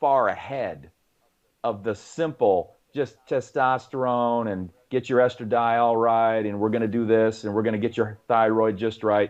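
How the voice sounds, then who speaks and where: Speaking at a fairly slow pace, a man has an unremarkable speaking voice and a medium pitch. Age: 50s. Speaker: fitness coach. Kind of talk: podcast interview. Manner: conversational, many fillers.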